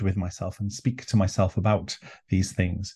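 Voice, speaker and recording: Against a quiet background, a man with a North Welsh accent speaks at a fairly quick pace in a dark, mellow, somewhat breathy tone. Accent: Welsh (North Wales). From North Wales, Anglesey. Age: 50s. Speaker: druid leader and author. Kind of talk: interview conversation.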